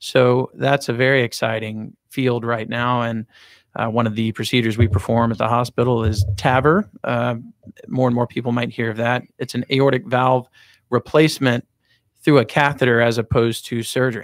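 On a very clean recording with a silent background, a man of medium pitch talks at a moderate pace with fairly even intonation. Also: dry, close sound with no echo. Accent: American. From US South, Jackson, Mississippi. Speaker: cardiologist. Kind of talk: interview.

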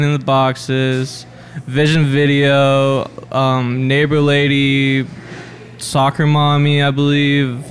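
A man's fairly high voice at a very slow pace, with noticeable background noise. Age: young. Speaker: sound engineer. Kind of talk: casual chat.

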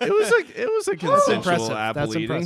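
A man's lively intonation and moderate pace come through over noticeable background noise. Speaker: podcast co-host.

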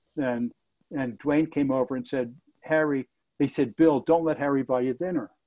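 Moderate pace and fairly even intonation. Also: man, fairly high pitch for a man. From New Jersey. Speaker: non-profit president, retired manufacturing executive. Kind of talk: interview. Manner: halting, many repetitions.

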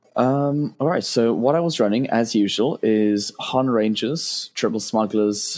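A man with a British accent talks at a fairly low pitch for a man, with ordinary pitch variation. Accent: British, noticeable. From UK. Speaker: game tournament player. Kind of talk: casual podcast interview.

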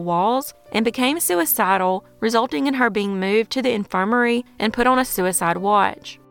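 A woman talks at a fairly high pitch and a moderate pace with ordinary pitch variation. Hers is an unremarkable speaking voice. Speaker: true crime podcaster. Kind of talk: true-crime narration, scripted. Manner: measured, even storyteller delivery; serious, somber tone.

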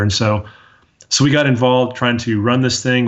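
Audible room echo hangs on a man's monotone, flat intonation. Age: 40s. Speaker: dental marketing agency owner. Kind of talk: interview.

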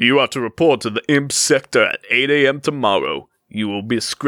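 The pitch varies in an ordinary way as someone is reading aloud in a natural voice, with a quiet background behind.

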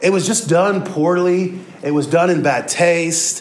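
A man with an American accent speaks at a fairly high pitch and a fairly slow pace in an animated tone. Audible room echo and noticeable background noise surround his voice. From Kansas City, US Midwest. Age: 30s. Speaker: pastor. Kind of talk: sermon.

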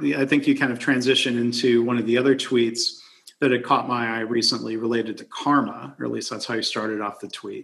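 Here is a man with a plain, everyday voice, medium in pitch and fairly even in intonation. He talks at a fairly quick pace with big swings in loudness. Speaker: podcast host. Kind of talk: casual chat over whiskey. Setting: video call.

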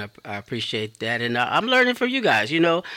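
In a very clean recording with a silent background, a man speaks at a fairly quick pace with a bright, sharp tone. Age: 50s. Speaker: radio DJ. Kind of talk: casual chat.

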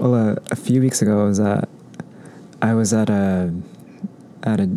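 The speaker has an American accent and fairly even intonation, with noticeable background noise behind the voice. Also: man. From Orange County, Southern California; Mexican American. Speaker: law student, former yoga instructor. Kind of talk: casual chat.

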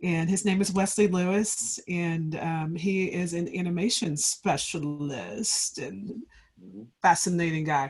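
A woman's somewhat breathy, fairly low voice at a fairly slow pace, with ordinary pitch variation. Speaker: podcast host. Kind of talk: casual interview.

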